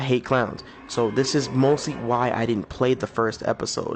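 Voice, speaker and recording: With music in the background, a man speaks at a moderate pace in a medium pitch. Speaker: gaming YouTuber. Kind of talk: casual gameplay commentary. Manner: low-energy, subdued.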